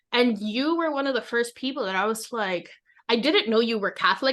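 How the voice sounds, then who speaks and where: Against a quiet background, a woman talks at a fairly quick pace with ordinary pitch variation. Hers is a plain, everyday voice. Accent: American. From New York. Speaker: podcast co-host. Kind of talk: casual chat.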